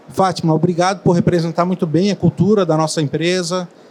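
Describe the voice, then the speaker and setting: A man with a Florianópolis accent speaks at a high pitch in a monotone, flat manner. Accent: Florianópolis accent, fast. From Florianópolis, southern Brazil. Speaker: hotel executive. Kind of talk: panel discussion. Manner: fast.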